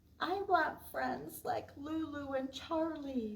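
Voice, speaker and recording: In a put-on character voice, a woman speaks at a high pitch. Her pace is very slow. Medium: read story.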